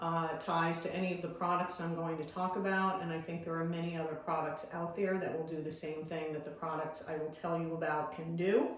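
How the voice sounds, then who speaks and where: There is audible room echo as a woman speaks at a moderate pace. Her intonation is monotone and flat. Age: 60s. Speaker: dentist sharing patient experience. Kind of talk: informal tutorial / testimony. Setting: self-recorded video.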